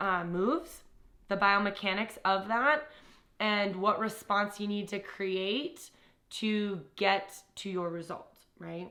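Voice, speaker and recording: With an ordinary speaking voice, a woman talks fairly slowly at a medium pitch, with ordinary pitch variation. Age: 20s. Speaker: fitness trainer and nutrition coach. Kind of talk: self-introduction monologue to camera.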